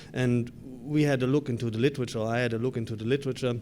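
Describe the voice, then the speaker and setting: A man with a German accent at a very fast pace, medium pitch, dark, mellow tone and monotone, flat intonation. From Germany. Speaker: grassland researcher. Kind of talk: conference presentation. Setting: conference session.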